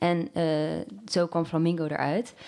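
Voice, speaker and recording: A woman with a plain, everyday voice speaks at a fairly slow pace. Her pitch sits fairly low. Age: 24. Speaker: university student and startup founder. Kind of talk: casual chat.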